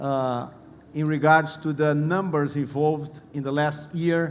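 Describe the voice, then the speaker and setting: With a Portuguese accent, a man talks in a fairly high pitch and monotone, flat intonation, amid audible room echo and noticeable background noise. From Brazil. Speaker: panel moderator. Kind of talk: conference panel introduction.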